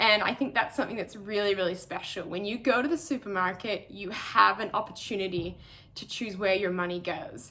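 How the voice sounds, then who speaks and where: A woman's medium-pitched voice with lively intonation at a fairly quick pace, over noticeable background noise. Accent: Australian. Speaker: ultramarathon runner. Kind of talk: prepared talk.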